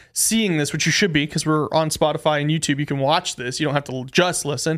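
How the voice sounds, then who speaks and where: A man talks at a fairly quick pace in a normal speaking voice, pitched fairly high. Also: very clean recording, silent background. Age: 20s. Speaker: podcast host. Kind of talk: casual chat. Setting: studio.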